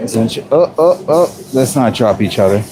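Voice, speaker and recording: A man talks at a fairly slow pace with a Jamaican accent. Noticeable background noise runs under his voice. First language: Jamaican Patois. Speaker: cook and food vlogger. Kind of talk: casual chat. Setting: work kitchen.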